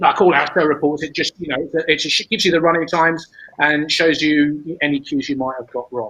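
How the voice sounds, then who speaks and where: Fairly high pitch and a fairly quick pace from a man with a British accent. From United Kingdom. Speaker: stage management educator. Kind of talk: conference presentation. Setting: online symposium. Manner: halting, with frequent repetitions.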